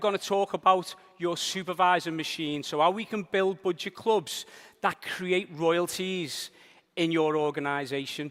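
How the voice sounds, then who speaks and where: A man with a high pitch talks at a moderate pace in a Liverpool accent. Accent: Liverpool (Scouse). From northern England, Liverpool. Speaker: business trainer. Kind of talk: seminar presentation. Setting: stage with audience.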